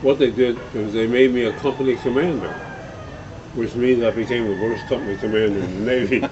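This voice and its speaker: Noticeable background noise sits under a man talking at a fairly quick pace with fairly even intonation. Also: medium pitch for a man. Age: 80s+. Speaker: retired lawyer and former ambassador. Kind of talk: interview answer.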